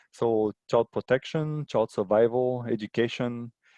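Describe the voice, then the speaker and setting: A dark, mellow voice with a non-native accent talks at a very slow pace with ordinary pitch variation. The sound is dry and close, with no echo. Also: man. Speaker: aid organisation water and sanitation specialist. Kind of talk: webinar presentation. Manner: halting, many fillers.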